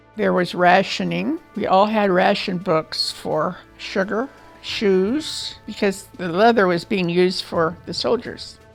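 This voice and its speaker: Over music in the background, a speaker with an American accent talks at a very slow pace with ordinary pitch variation. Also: woman, medium pitch for a woman. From Illinois, US Midwest. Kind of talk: oral history interview answer.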